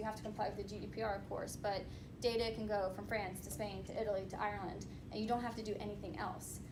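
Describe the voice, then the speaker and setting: Noticeable background noise and audible room echo surround the voice. A woman talks at a fairly quick pace. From US, North Carolina. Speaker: privacy and data security attorney on a panel. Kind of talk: panel discussion.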